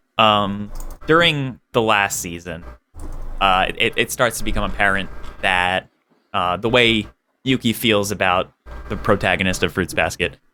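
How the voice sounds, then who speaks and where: Music in the background behind a man's fairly low voice, fairly slow and lively in intonation, with long, frequent pauses. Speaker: anime podcast panelist. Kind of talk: casual chat. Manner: hesitant, many fillers.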